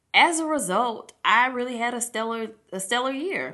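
Against a quiet background, a woman speaks at a fairly slow pace with a bright, sharp tone. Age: 30s. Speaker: podcast host. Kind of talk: casual solo podcast talk. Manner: animated.

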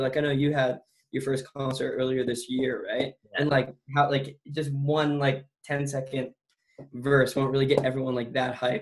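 This man has a fairly high pitch and sounds somewhat breathy. He speaks at a fairly quick pace. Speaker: podcast host. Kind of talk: casual interview chat.

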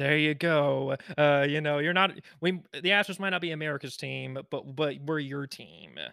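In a plain, everyday voice, a man with a fairly high pitch talks at a moderate pace with fairly even intonation. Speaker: podcast host. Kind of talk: casual podcast interview.

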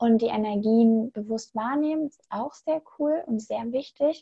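A woman talks at a very slow pace in a somewhat breathy voice with ordinary pitch variation. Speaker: spiritual coach. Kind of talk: interview. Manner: animated.

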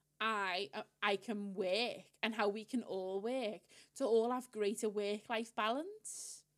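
At a very slow pace, the voice keeps a fairly even intonation. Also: woman, fairly high pitch for a woman. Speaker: podcast co-host, marketing professional. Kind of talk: casual chat. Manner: talkative.

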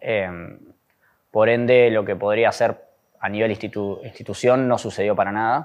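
A man with a Rioplatense accent speaks at a moderate pace and medium pitch, with fairly even intonation. He takes long, frequent pauses against a quiet background. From Buenos Aires, Argentina. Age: 30s. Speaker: abuse survivor, social communicator. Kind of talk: testimony.

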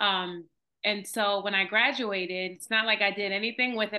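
A normal speaking voice with an American accent, at a moderate pace. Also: woman. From New Jersey (Montclair). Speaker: Reiki practitioner and energy healer. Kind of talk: casual interview.

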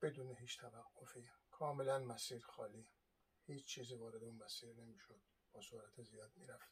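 Speaking at a fairly quick pace, a man with a somewhat breathy voice keeps a fairly even intonation while his loudness swings widely. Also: medium pitch for a man. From Iran. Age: 60s. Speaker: video blogger on history and travel. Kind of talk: monologue talk. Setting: home, seated on sofa.

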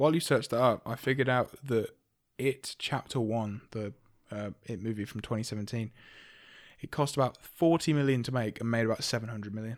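A man with a British accent speaks in a medium pitch at a moderate pace with fairly even intonation and long, frequent pauses. The recording is very clean, with a silent background. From UK. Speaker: podcast co-host. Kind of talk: casual chat.

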